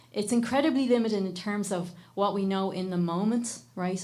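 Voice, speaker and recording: A woman with an Irish accent at a fairly quick pace, audible room echo around her voice. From Ireland. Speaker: microbiome researcher and educator. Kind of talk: panel discussion.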